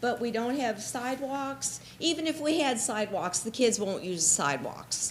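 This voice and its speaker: At a moderate pace, a woman speaks with lively intonation and a somewhat breathy sound. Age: 60s. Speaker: resident speaking at public hearing, registered nurse. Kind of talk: public comment at zoning hearing. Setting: township meeting room, at the podium.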